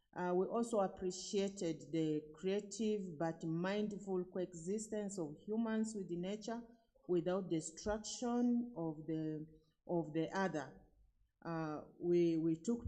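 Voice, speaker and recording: Audible room echo colors a woman's very slow speech, medium in pitch with ordinary pitch variation. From Uganda. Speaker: conference participant. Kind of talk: event report. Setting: conference hall.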